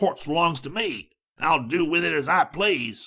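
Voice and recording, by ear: A man does a put-on character voice, fairly high and fairly bright with a slightly husky edge. He talks at a fairly slow pace with lively intonation.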